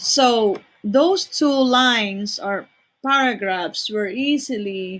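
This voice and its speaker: A woman with a non-native accent speaks at a very slow pace, with ordinary pitch variation. The recording is very clean and the background silent. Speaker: teacher. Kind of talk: tutorial. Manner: slow, deliberate dictation.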